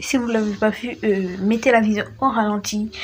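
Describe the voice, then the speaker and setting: A woman with a fairly high pitch speaks at a fairly slow pace with fairly even intonation. Noticeable background noise is present. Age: 20s. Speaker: gaming YouTuber. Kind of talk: casual vlog talk to camera. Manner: hesitant, many fillers.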